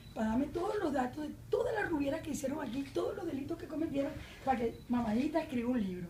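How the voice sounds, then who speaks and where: A high-pitched woman with a Venezuelan accent at a very fast pace, lively intonation, and audible room echo. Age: 60s. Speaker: journalist and independent candidate. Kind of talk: political debate. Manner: animated.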